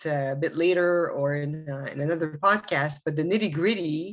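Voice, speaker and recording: Here a woman speaks with a Quebec accent. Her pitch is fairly low, with ordinary variation. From Quebec, Canada. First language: Arabic. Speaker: assistant director of spiritual organization. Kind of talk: podcast interview. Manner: hesitant, many fillers.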